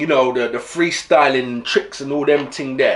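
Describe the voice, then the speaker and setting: A man talks at a fairly slow pace with noticeable background noise. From East London. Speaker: football fan vlogger. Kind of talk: casual vlog book review. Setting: home camera recording. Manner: animated.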